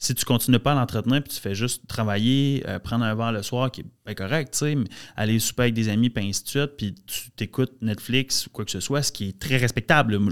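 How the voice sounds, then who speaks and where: Recorded very cleanly with a silent background and a dry, close sound with no echo, a man speaks fairly quickly at medium pitch with ordinary pitch variation. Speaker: entrepreneur. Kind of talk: casual chat.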